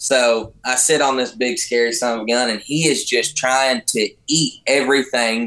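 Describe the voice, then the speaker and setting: Against a quiet background, a man with a Texan accent and a bright, sharp tone talks at a moderate pace with hardly any pauses, very even loudness and fairly even intonation. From Texas, Fort Worth area; Texas. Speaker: professional bull rider; podcast guest. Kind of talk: casual chat. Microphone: video call.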